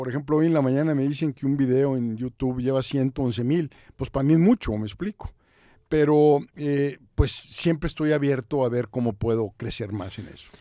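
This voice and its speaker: The tone is dark and mellow, with a quiet background and a dry sound that has no echo. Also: man, ordinary pitch variation, moderate pace. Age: 60s. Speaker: podcast host and business consultant; podcast host. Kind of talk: interview. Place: studio. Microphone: studio mic.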